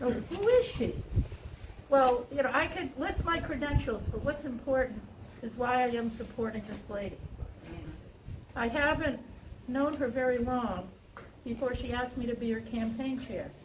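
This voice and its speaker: Pausing long and often, a woman with a high pitch and ordinary pitch variation talks amid noticeable background noise and audible room echo. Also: moderate pace. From New England. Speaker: campaign chair. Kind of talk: campaign speech. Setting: outdoors in cold with audience.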